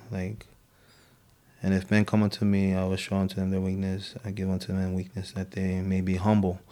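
A man in a Hawaiian accent speaks at a very deep, low pitch with monotone, flat intonation on a very clean recording with a silent background. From Hawaii, Oahu (Samoan). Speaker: guest sharing faith testimony. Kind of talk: testimony. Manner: halting.

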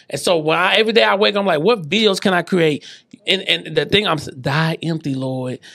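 With an animated tone and lively intonation, the speaker talks at a fairly quick pace in an American accent over noticeable background noise. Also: man, fairly high pitch for a man. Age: 40s. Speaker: podcast host and business coach. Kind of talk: casual interview chat.

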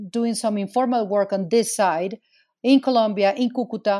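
Over a silent background in a very clean recording, a woman with a Spanish accent speaks at a moderate pace in a fairly high pitch with ordinary pitch variation. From Venezuela. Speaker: migrant advocate, nonprofit founder. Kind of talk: interview.

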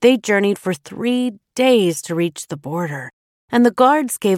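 The recording holds plain reading aloud with a quiet background behind it.

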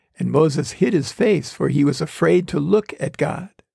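At a moderate pace, a man speaks with vocal fry in a dry, close sound with no echo. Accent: American. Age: 70s. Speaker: pastor and podcast host. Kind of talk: sermon-like devotional talk, with scripture reading.

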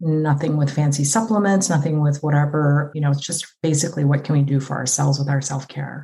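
Speaking at a fairly quick pace with hardly any pauses, a woman uses a very deep, low pitch, a dark, mellow tone, a somewhat breathy quality and fairly even intonation. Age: 50s. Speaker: physician. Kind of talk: casual chat.

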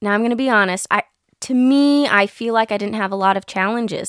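An unremarkable speaking voice from a woman with an American accent, fairly high in pitch, with ordinary pitch variation and a moderate pace, in a very clean recording with a silent background. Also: dry, close sound with no echo. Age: 20s. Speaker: interview guest, adventurer. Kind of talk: casual interview. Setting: studio in a trailer.

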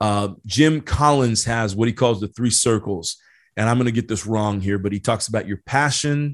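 An ordinary speaking voice moves at a moderate pace with ordinary pitch variation over a quiet background. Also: man, medium pitch for a man. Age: 40s. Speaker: leadership podcast host. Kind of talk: solo podcast monologue with book reading. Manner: casual with frequent fillers and repeated words.

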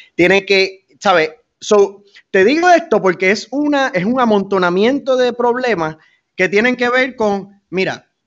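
With a Puerto Rican accent, a man speaks in a high pitch and lively intonation. His pace is fairly slow. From Puerto Rico, Fajardo. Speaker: mayoral candidate, military veteran. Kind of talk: interview.

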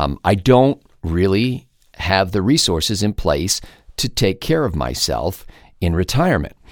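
A man's very deep, low voice with vocal fry and very wide pitch swings, in an American accent, on a very clean recording with a silent background. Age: 50s. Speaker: podcast host and talk show commentator. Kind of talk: solo monologue podcast.

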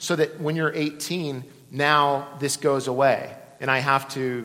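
Bright and sharp in tone, this man's voice sits fairly high in pitch. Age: 40s. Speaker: pastor. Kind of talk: sermon.

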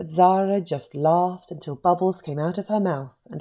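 An unforced reading voice rises and falls in pitch by a typical amount.

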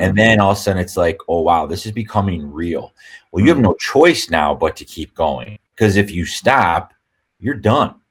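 Somewhat breathy and at a moderate pace, the voice has lively intonation and big swings in loudness, recorded very cleanly against a silent background. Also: man, fairly low pitch for a man. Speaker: real estate brokerage owner. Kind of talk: casual interview.

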